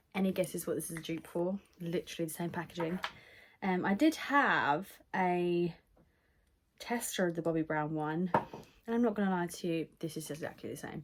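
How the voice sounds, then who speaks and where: A woman with a British accent speaks at a fairly low pitch and a moderate pace, with ordinary pitch variation. Noticeable background noise is present. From UK. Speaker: beauty vlogger. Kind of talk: makeup tutorial. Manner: casual, filler-heavy. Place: home room. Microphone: phone near.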